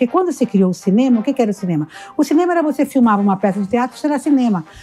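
A woman's high-pitched voice, very fast and lively in intonation, over noticeable background noise. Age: 60s. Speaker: motivational speaker and entrepreneur. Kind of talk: casual interview.

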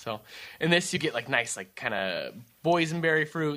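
On a very clean recording with a silent background, a man with a bright, sharp tone speaks at a moderate pace. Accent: American. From California. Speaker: winemaker.

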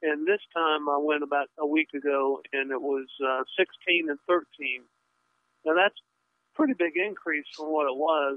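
A man with an ordinary speaking voice talks at a fairly slow pace. His pitch is fairly high and his intonation fairly even. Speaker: radio caller. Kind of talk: call-in question. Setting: phone call.

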